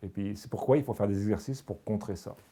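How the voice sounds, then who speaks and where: A man's fairly low voice with a dark, mellow tone. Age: 70s. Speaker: senior exercise class participant. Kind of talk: testimony. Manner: halting.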